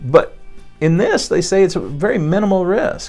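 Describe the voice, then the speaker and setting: Music plays in the background as a man with a Texan accent talks at a fairly slow pace. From Texas. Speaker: chiropractor. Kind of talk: podcast talk. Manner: casual, conversational.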